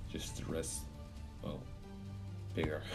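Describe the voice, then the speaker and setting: With music playing behind him, a man speaks in a very deep, low voice. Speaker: game video commentator. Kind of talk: casual gameplay commentary.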